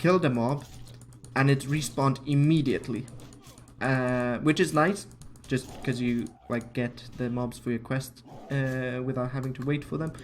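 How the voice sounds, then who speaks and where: Long, frequent pauses break up speech at a moderate pace, with music in the background. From Finland. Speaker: video game streamer. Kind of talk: casual live gameplay commentary. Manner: hesitant, with frequent fillers.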